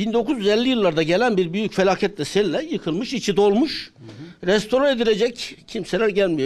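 A man's high-pitched voice with lively intonation at a moderate pace. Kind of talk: interview answer. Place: hall. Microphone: handheld.

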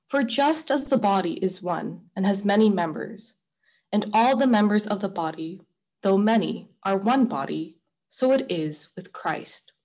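Her speech is a normal speaking voice at medium pitch, as a woman talks at a fairly slow pace with lively intonation against a quiet background. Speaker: lector. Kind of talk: scripture reading. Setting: video call.

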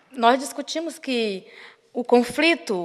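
At a fairly slow pace, a woman with a fairly high pitch speaks against a quiet background. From Brazil, Maranhão. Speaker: activist; speaker. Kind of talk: lecture. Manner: halting. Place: hall. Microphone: podium.

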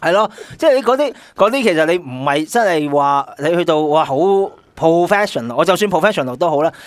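A man talks with lively intonation and a high pitch. The background is quiet. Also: fairly quick pace. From Hong Kong. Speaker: guest co-host, sportswear marketing veteran. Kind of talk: casual chat. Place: studio.

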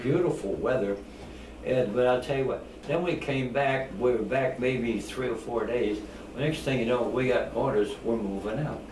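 A man at a moderate pace with ordinary pitch variation, audible room echo and light background noise. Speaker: war veteran. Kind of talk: interview answer. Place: home room. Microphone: camera far.

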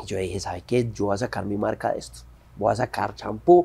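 The speaker is a man with a fairly low pitch. The tone comes across dark and mellow. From Colombia. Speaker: actor and entrepreneur; actor. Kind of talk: interview. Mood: relaxed, friendly. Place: studio.

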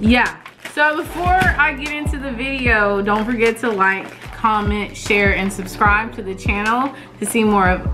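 Clear music plays behind a woman who speaks at a moderate pace with ordinary pitch variation. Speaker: family channel vlogger. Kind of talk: casual vlog chat. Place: home room.

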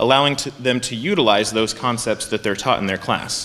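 A man with an American accent speaks with ordinary pitch variation. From US Midwest. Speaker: agricultural education administrator. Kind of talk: presentation. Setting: stage with audience. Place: hall. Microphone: podium.

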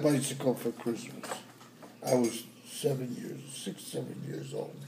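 A man with an American accent, big swings in loudness, and noticeable background noise. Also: fairly slow pace. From New York. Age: old. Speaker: grandfather. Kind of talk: family storytelling. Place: home room. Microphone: phone near.

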